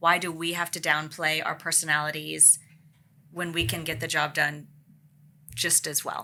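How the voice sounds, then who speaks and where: A loud voice with a bright, sharp tone, monotone, flat intonation, a moderate pace and long, frequent pauses. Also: woman, very deep, low pitch for a woman. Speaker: podcast host. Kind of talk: panel discussion.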